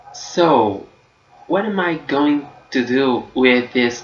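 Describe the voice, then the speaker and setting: A man's medium-pitched voice with lively intonation, amid noticeable background noise. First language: Portuguese. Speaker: book vlogger. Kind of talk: casual vlog review. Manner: hesitant, with fillers.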